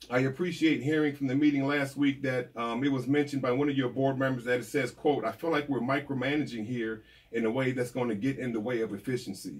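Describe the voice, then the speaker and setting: Speaking very fast with hardly any pauses, a man with an American accent keeps a medium pitch and fairly even intonation. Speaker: diversity consultant. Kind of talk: public comment at virtual board meeting. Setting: video call.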